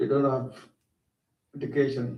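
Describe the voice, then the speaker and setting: The voice, in a South Sudanese accent, has vocal fry and a flat, monotone intonation. It moves at a moderate pace with audible room echo. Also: man. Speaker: war refugee speaker. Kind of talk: school talk to students. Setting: school assembly, livestreamed.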